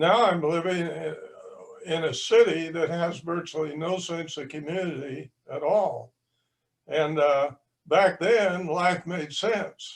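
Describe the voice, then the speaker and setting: Very slow and high-pitched, a man with an American accent talks with ordinary pitch variation. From southwestern Kansas. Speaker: audience member. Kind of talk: audience question. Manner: halting.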